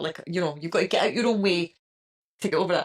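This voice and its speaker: With a Scottish accent, a woman speaks with lively intonation. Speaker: podcast host. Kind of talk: casual chat.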